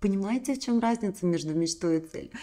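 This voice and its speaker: The voice has a dark, mellow tone and lively intonation. The background is quiet. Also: woman. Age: 40s. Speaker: women's coaching channel host. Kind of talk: motivational talk to camera. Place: home room. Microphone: studio mic.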